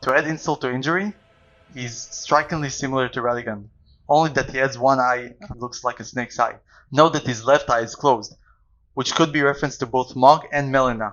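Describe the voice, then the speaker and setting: Delivered at a fairly quick pace, this speech has fairly even intonation and a non-native accent. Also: man, medium pitch for a man. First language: not English. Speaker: video game lore youtuber. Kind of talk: video essay narration.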